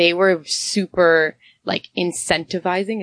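A normal speaking voice with fairly even intonation comes through dry and close, with no echo. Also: woman. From Canada (Toronto area) and Honduras. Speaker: entrepreneur, tea company co-owner. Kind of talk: interview conversation.

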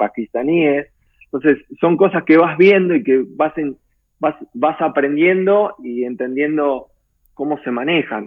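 A man talks very slowly, his fairly high voice moving with ordinary pitch variation. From Garín, Escobar, northern Buenos Aires, Argentina. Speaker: expatriate interviewee. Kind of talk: casual interview. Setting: video call. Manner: hesitant, many fillers.

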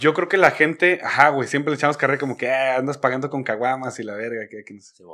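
A man's very fast delivery with hardly any pauses, medium pitch with ordinary variation, a bright, sharp tone and big swings in loudness. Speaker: podcast host. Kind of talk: casual chat. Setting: studio. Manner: animated.

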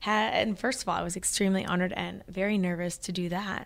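A woman with an American accent speaks at a moderate pace and medium pitch, with ordinary pitch variation and a plain, everyday voice. The recording is very clean, the background silent. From Missouri, small town (US Midwest). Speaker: running and strength coach. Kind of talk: interview chat.

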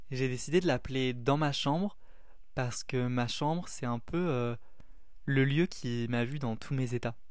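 A man speaks fairly slowly at a medium pitch with ordinary pitch variation and long, frequent pauses. The room echo is audible. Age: 20s. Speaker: student podcaster. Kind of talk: casual introductory monologue. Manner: hesitant, with fillers.

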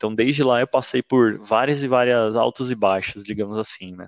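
In an ordinary speaking voice, a man talks at a moderate pace and medium pitch with fairly even intonation, the sound dry and close with no echo against a quiet background. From São Paulo, Brazil. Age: 30s. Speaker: church member sharing testimony. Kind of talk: testimony.

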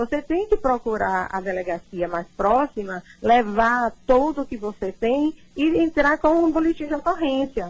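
Talking somewhat slowly, a woman with a high voice sends her pitch leaping across a huge range. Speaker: lawyer. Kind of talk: radio interview.

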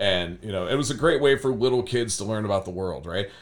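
A man with an American accent speaks very fast at a fairly low pitch. His intonation is lively. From US Midwest, Cleveland west side (Berea). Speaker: high school art teacher. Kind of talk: casual interview.

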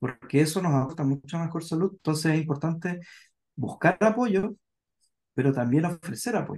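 A man talks in a normal speaking voice, fairly high in pitch with ordinary pitch variation. His moderate pace comes across in a dry, close sound with no echo. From southern Chile, Puerto Montt. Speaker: psychologist. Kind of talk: casual chat.

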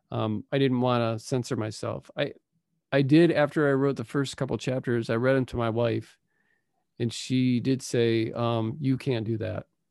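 A man talks at a moderate pace in a plain, everyday voice, medium in pitch with fairly even intonation. The recording is very clean, with a silent background. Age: 50s. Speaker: author and musician. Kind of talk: casual chat.

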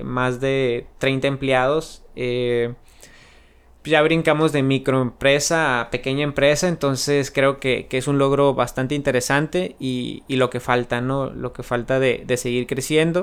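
Fairly slow and fairly even in intonation, a man's medium-pitched voice comes through a very clean recording with a silent background. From Mexico, San Luis Río Colorado, Sonora. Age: 20s. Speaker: entrepreneur and podcast host. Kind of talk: podcast monologue.

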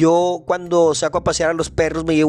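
A man speaks in a fairly high voice with a flat, monotone delivery. Music plays in the background. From northern Mexico, Chihuahua. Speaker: podcast host. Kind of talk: motivational monologue.

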